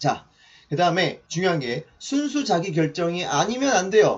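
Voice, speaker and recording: A man speaks with a high pitch and very wide swings in his pitch. Noticeable background noise runs underneath. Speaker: mentor giving online lectures. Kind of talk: lecture. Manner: fast.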